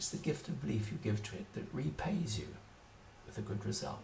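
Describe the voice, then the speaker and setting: Fairly low in pitch yet with very wide pitch swings, a man talks fairly quickly amid audible room echo. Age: 70s. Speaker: writer on magic. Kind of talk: solo video talk. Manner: hesitant, with fillers.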